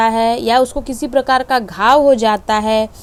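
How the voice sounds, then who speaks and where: A woman speaks at a high pitch. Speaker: home science teacher. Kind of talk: online lecture.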